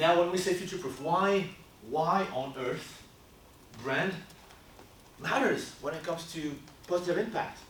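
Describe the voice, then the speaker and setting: Loud speech at a moderate pace, with ordinary pitch variation and long, frequent pauses, carries audible room echo. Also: man, high pitch for a man. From France. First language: French. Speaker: brand consultancy co-founder. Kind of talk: workshop presentation. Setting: stage with audience. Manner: casual.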